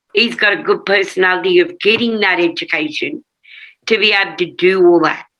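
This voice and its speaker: A woman's bright, sharp voice swings very widely in pitch. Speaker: witness at a public hearing. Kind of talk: testimony.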